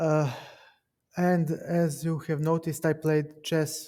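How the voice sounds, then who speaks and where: A man's dark, mellow voice at a fairly high pitch, fairly slow in pace and monotone, flat in intonation. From Serbia. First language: Serbian. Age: 30s. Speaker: chess streamer. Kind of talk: casual chat. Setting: live stream with Discord call.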